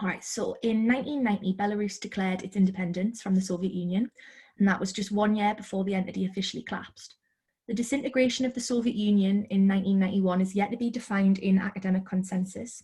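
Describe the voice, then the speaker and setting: Somewhat breathy and dark, mellow in tone, a woman of medium pitch talks at a very fast pace with fairly even intonation. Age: 20s. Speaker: author. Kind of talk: interview. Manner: hesitant with fillers.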